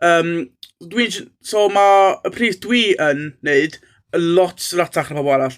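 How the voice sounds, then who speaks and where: In a North Welsh accent, the speaker goes at a fairly slow pace with ordinary pitch variation, on a very clean recording with a silent background. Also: man, high pitch for a man. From North Wales. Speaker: Welsh language tutor. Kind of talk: casual channel introduction. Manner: hesitant with many fillers.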